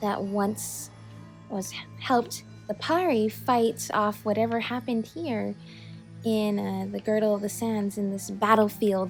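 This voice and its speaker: Music sounds behind a woman who speaks at a fairly slow pace. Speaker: gaming channel host. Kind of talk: casual gameplay commentary.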